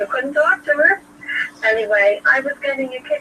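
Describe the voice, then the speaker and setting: A woman speaks in a raised, projected voice at a fairly quick pace, with lively intonation. Noticeable background noise runs underneath. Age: 70s. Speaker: caller. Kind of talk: casual chat.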